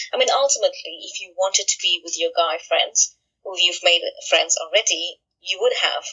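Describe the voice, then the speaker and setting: A woman speaks with a South African accent. Her loudness swings widely. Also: moderate pace. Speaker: author and friendship coach. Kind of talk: interview.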